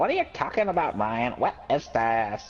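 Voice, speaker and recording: A woman puts on a character voice with a very deep, low pitch. Her pace is moderate. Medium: solo performance. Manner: emotional, quick to anger.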